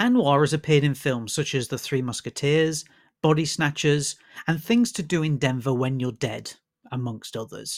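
A man with a British accent speaks in a fairly high voice with lively intonation, captured in a very clean recording against a silent background. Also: moderate pace. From UK. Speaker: film critic, broadcaster and podcast host. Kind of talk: scripted intro then interview.

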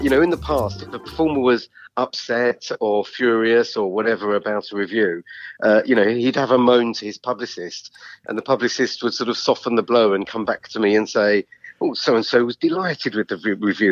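A man speaks fairly quickly in a normal speaking voice at a medium pitch with ordinary pitch variation. The sound is dry and close, with no echo. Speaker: comedy critic. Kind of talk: casual interview.

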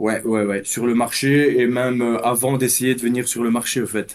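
The man's voice sits at a medium pitch with fairly even intonation. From Belgium. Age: 30s. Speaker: amateur trader. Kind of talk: interview.

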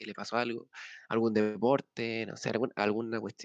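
Heard in a dry, close sound with no echo, a man with a plain, everyday voice speaks at a moderate pace and medium pitch. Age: 20s. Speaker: podcast co-host, university student. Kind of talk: casual chat.

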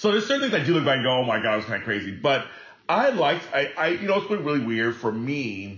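A man talks at a very fast pace, his pitch swinging very widely. Noticeable background noise runs behind him. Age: 40s. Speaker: entertainer and podcast host. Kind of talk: casual chat.

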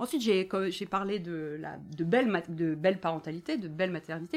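An unremarkable speaking voice belongs to a woman whose pitch sits fairly low, varies in an ordinary way, and moves at a moderate pace. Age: 40s. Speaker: author and activist. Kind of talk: live bookshop talk.

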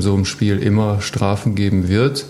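Amid noticeable background noise and audible room echo, a man with a fairly low pitch talks at a moderate pace with fairly even intonation. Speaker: professional ice hockey player. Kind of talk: casual chat. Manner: halting, many fillers.

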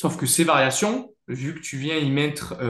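A man talks in a somewhat breathy voice. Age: 20s. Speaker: powerlifting athlete and coach. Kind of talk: interview.

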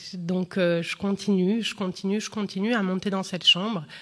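Talking at a fairly quick pace, a woman uses a plain, everyday voice. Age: 30s. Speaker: comedian. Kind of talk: testimony.

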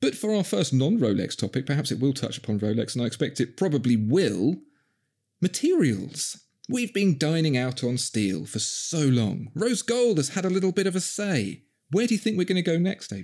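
Against a quiet background, a dark, mellow voice in a Cockney accent moves through very wide pitch swings. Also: man, fairly high pitch for a man, moderate pace. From Southeast London. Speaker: podcast host. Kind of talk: casual chat. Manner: switches to polished radio voice.

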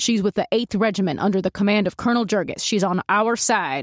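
Using a put-on character voice, a woman growls at a fairly quick pace and a medium pitch with ordinary pitch variation, on a very clean recording with a silent background. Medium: read story. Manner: calm, authoritative.

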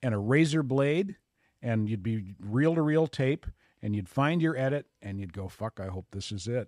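Recorded very cleanly against a silent background, with a dry, close sound and no echo, a man at medium pitch speaks at a moderate pace with lively intonation. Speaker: radio host. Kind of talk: casual chat. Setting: studio.

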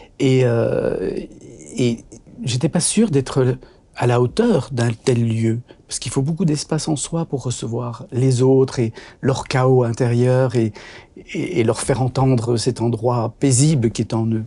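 At a very slow pace and with long, frequent pauses, a man speaks in a somewhat breathy, dark, mellow voice of medium pitch with ordinary pitch variation. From Belgium, Brussels. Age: 60s. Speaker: doctor and author. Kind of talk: interview conversation. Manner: hesitant, many fillers.

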